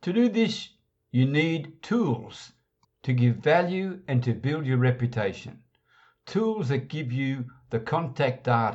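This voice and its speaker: A man talks at a medium pitch and a fairly slow pace. His voice is somewhat breathy, with lively intonation. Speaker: internet marketing podcast host. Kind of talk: scripted training talk.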